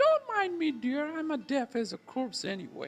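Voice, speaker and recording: A put-on character voice, pitched high, at a moderate pace. Faint music plays in the background. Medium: solo performance. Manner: folksy, doting.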